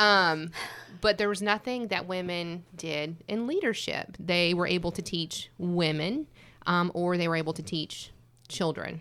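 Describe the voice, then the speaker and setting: An ordinary speaking voice moves at a fairly slow pace with ordinary pitch variation on a very clean recording with a silent background. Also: woman, fairly low pitch for a woman. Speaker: ministry guest. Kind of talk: panel discussion.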